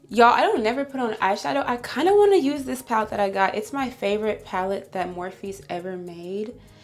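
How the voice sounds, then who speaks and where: Over music in the background, a woman with a fairly high pitch talks at a fairly quick pace, animated and lively in intonation, with hardly any pauses. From Illinois. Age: 20s. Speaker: beauty vlogger. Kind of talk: casual chat.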